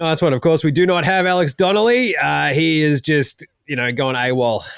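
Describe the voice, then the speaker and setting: Speaking at a moderate pace, a man with an Australian accent uses a fairly high pitch and lively intonation. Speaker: sports betting podcast host. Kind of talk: casual chat.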